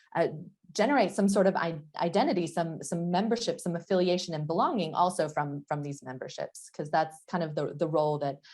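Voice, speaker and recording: A woman with an American accent talks at a fairly quick pace. Her pitch is fairly low, with ordinary pitch variation. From United States. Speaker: professor. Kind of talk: lecture. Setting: online session. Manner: halting, many fillers.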